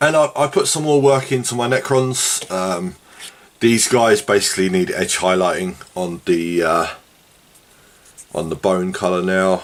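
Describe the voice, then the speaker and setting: Against noticeable background noise, a man with a very deep, low pitch and lively intonation talks at a fairly slow pace with long, frequent pauses. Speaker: tabletop wargaming hobbyist vlogger. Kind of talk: casual monologue while painting. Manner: casual, rambling with fillers.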